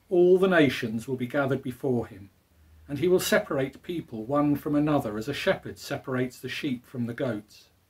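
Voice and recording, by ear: At a moderate pace, a man speaks at medium pitch with ordinary pitch variation, a slightly mellow tone and a slightly husky edge.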